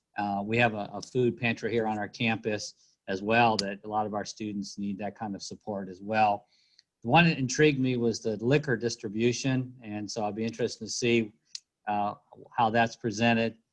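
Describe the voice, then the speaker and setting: Against a quiet background, a man talks at a moderate pace with a medium pitch and fairly even intonation. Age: 60s. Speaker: university leader. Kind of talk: welcome remarks. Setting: video call. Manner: halting. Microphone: laptop via cell phone hotspot.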